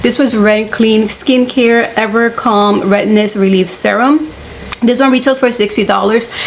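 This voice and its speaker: A woman talks at a moderate speed, her pitch varying in an ordinary way, while noticeable noise fills the background. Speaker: beauty YouTuber. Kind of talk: product unboxing review.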